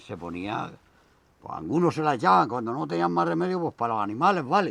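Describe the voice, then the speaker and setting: His fairly low voice sweeps through very wide pitch swings as the man speaks. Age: 70s. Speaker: elderly villager showing old farm tools. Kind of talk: casual chat.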